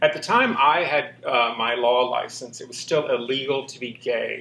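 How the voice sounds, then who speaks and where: A man's voice over noticeable background noise. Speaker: former corporate lawyer. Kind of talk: casual interview chat.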